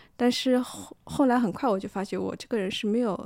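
This woman speaks at a moderate pace with a dark, mellow tone and fairly even intonation. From Shanghai. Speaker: photographer and artist. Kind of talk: casual chat.

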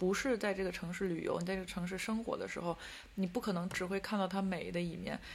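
A woman's somewhat breathy, medium-pitched voice keeps a fairly even intonation. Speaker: podcast co-host living in Paris. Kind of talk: casual chat.

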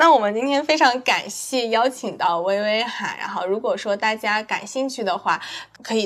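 Noticeable background noise is present throughout. The delivery is fairly slow, and the pitch varies in an ordinary way. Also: woman. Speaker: podcast host. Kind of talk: casual chat.

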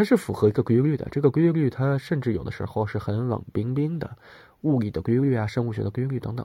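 At a very fast pace, the speaker's somewhat breathy voice carries ordinary pitch variation. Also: man, medium pitch for a man. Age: 30s. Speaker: podcast host. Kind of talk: solo casual monologue.

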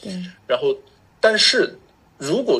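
A man at a very slow pace. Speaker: chiropractor. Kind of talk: interview.

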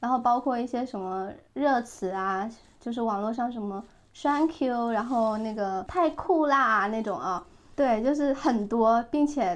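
This woman has an ordinary speaking voice with a fairly high pitch. She talks at a fairly slow pace with ordinary pitch variation. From southern Fujian, China. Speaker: podcast host, former lifestyle blogger. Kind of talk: casual chat.

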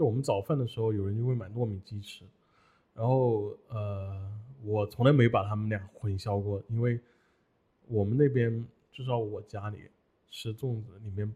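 Somewhat breathy delivery at a moderate pace, fairly even in intonation, broken by long, frequent pauses. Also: man, medium pitch for a man. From Hunan. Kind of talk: casual chat. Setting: studio.

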